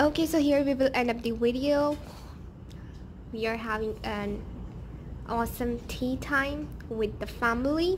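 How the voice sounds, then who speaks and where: A woman speaks at a fairly slow pace with a high pitch and ordinary pitch variation. Her speech has long, frequent pauses over light background noise. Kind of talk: cooking tutorial narration. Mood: cheerful, pleased. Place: kitchen. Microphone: phone near.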